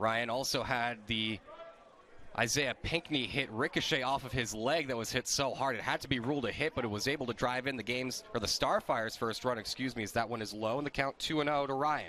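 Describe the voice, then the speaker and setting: At a fairly quick pace, a man with an ordinary speaking voice talks at medium pitch, with ordinary pitch variation. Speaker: sports play-by-play announcer. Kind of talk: baseball play-by-play broadcast.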